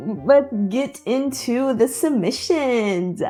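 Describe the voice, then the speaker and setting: Music plays in the background as a woman with an American accent talks at a fairly high pitch with very wide pitch swings. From Texas, USA. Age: 20s. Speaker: YouTuber. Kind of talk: casual talk to camera. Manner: casual, chatty.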